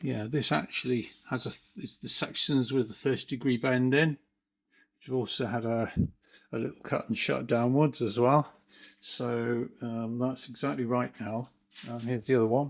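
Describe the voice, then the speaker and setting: A man's mumbling in a medium pitch with fairly even intonation, on a very clean recording with a silent background. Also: moderate pace. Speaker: hobbyist car builder. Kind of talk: workshop video tutorial. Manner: casual, hesitant.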